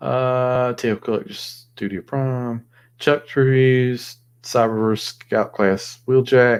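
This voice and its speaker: On a very clean recording with a silent background, a man with a Southern US accent speaks at a very slow pace with fairly even intonation. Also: medium pitch for a man. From US South. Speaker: toy collector livestreamer. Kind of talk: casual livestream chat. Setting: live stream, alone at night.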